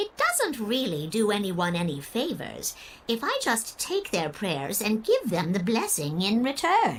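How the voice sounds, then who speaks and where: A female-sounding, put-on character voice speaks at a moderate pace with a fairly high pitch. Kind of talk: old-fashioned formal speech. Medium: video game. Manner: genteel, gracious, slightly theatrical.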